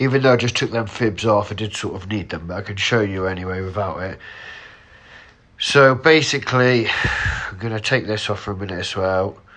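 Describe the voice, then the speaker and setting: A man with a fairly low pitch and ordinary pitch variation talks at a fairly quick pace, with big swings in loudness and noticeable background noise. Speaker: trading analyst. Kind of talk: tutorial. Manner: casual.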